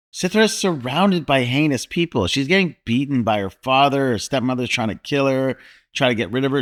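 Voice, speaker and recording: A man with an ordinary speaking voice talks fairly quickly at medium pitch, his intonation lively. The recording is very clean, with a silent background. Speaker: podcast host. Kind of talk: casual chat.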